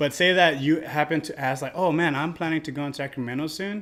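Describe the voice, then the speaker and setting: The recording is very clean with a silent background. A man speaks with fairly high pitch and ordinary pitch variation. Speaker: podcast co-host and dance event promoter. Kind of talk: casual chat. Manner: loud.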